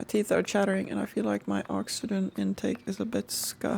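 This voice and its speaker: Raspy, put-on character voice at a fairly quick pace. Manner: weak, shaky.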